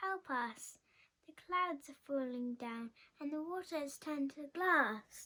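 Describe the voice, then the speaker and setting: A woman uses a put-on character voice, speaking at a high pitch and a fairly slow pace. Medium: read story.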